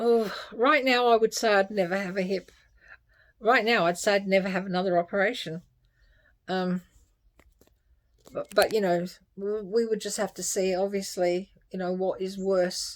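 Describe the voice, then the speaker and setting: A woman speaks at a moderate pace in a medium pitch, with long, frequent pauses and fairly even intonation, on a very clean recording with a silent background. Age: 60s. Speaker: health vlogger. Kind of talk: personal video update. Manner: halting.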